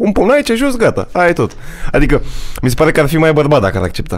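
Lively intonation marks this delivery, which moves at a fairly quick pace. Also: man. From Romania. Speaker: youtuber hosting his first podcast; podcast host or guest. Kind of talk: casual chat. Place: studio. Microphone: studio mic.

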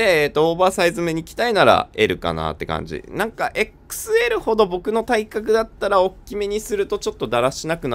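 A man talks at a fairly quick pace. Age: 30s. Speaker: vintage clothing buyer and stylist, fashion YouTuber. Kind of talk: product review video. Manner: casual, many fillers.

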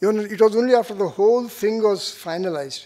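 The pitch varies in an ordinary way. The voice belongs to a man. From India. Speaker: arts organisation trustee; host of felicitation event. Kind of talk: welcome speech. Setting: stage with audience. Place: stage. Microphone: podium.

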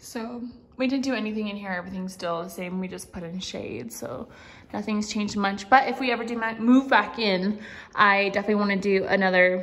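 Here a woman speaks at a fairly quick pace with ordinary pitch variation. Her loudness swings widely. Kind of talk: casual vlog chat. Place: home room. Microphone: phone near.

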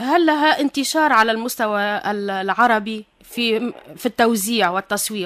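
A woman speaks in a plain, everyday voice at a fairly slow pace, her pitch fairly high and her intonation lively. The background is quiet. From Tunisia. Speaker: radio host. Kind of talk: radio interview. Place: studio.

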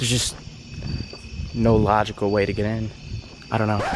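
A fairly low-pitched man in a monotone, flat intonation, over noticeable background noise. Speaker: vlogger. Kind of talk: casual vlog chat. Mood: disappointed, hushed. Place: street. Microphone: phone near.

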